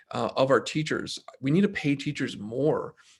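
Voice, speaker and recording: Over a quiet background, a man speaks in a somewhat breathy voice with a fairly high pitch. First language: Spanish. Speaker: city council candidate. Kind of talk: candidate forum answer.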